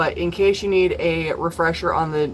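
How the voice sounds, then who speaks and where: Over noticeable background noise, a woman speaks with fairly even intonation at a fairly low pitch. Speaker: tarot reader. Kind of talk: live stream tarot reading session. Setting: live stream from home.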